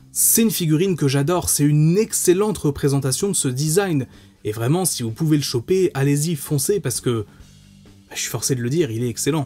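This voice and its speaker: A man's somewhat breathy voice has a dark, mellow tone and lively intonation at a moderate pace. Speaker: toy reviewer. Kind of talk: product review commentary. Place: home room.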